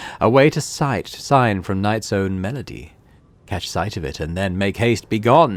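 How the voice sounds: The reading is done in a natural voice.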